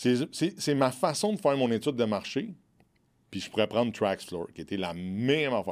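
Man with a Quebec accent, medium pitch and very wide pitch swings at a moderate pace, on a very clean recording with a silent background. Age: 40s. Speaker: entrepreneur. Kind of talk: casual interview. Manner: frank, outspoken.

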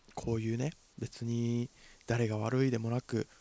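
Dark and mellow in tone, a man's voice holds a monotone, flat intonation. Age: 20s. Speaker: actor and podcast host. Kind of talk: solo casual talk. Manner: halting, many fillers.

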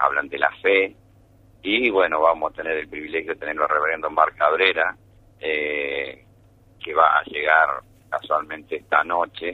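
The delivery is fairly slow, with long, frequent pauses and fairly even intonation. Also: man, very deep, low pitch for a man. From Argentina, Buenos Aires. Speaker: church spokesman. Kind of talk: radio interview.

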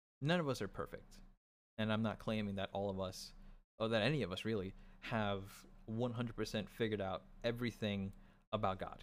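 A man speaks at a fairly quick pace in a fairly low voice with ordinary pitch variation and long, frequent pauses, on a very clean recording with a silent background. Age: 20s. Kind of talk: religious teaching monologue.

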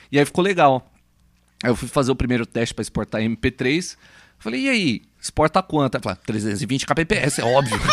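In an ordinary speaking voice, a man talks at a medium pitch and moderate pace with lively intonation, the sound dry and close with no echo. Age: 30s. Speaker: podcast co-host, bassist. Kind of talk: casual chat.

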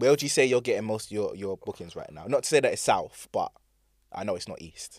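A man with a London accent talks very fast, with big swings in loudness. The sound is dry and close with no echo, on a very clean recording with a silent background. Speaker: DJ and DJ teacher. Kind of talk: casual chat. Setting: studio. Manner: soft-spoken.

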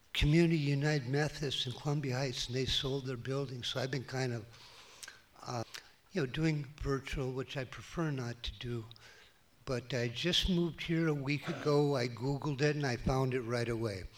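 With an Upper Midwest accent, a man speaks at a moderate pace. His pitch is medium and his intonation fairly even. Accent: Upper Midwest American. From Minnesota, US Midwest. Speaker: churchgoer. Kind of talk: testimony. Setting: church.

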